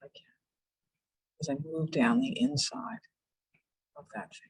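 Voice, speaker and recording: This woman's pitch is very deep and low, with very wide swings. Her voice is somewhat breathy. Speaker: psychologist leading a relaxation workshop. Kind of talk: guided relaxation exercise in a workshop. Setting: virtual workshop video call. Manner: hesitant, many fillers; slow, calm guided pacing. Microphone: voice may be cutting out.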